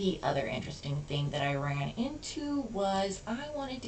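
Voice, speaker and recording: A woman at medium pitch with very wide pitch swings and a moderate pace, amid noticeable background noise and audible room echo. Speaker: hobbyist programmer. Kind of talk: coding tutorial walkthrough. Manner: casual, self-correcting.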